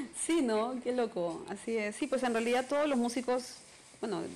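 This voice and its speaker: A woman with a Peruvian accent, ordinary pitch variation and a moderate pace. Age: 40s. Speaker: singer-songwriter. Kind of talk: interview.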